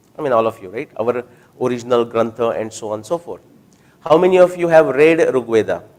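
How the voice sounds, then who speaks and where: At a very fast pace, a man with a Marathi Indian accent speaks at medium pitch with lively intonation and big swings in loudness. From India (Maharashtra). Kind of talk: talk with audience Q&A. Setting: hall with live audience. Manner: conversational, with fillers and restarts.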